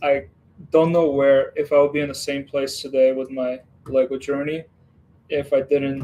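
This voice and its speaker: A man with a fairly high voice and a dark, mellow tone speaks at a moderate pace in a monotone, flat way. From western Ukraine. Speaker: Lego streamer. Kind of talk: casual livestream chat. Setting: home Lego room. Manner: relaxed, hesitant with fillers.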